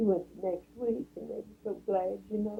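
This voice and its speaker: A woman speaks with a Southern US accent in a dark, mellow tone. Her delivery has vocal fry and a moderate pace. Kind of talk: interview answer.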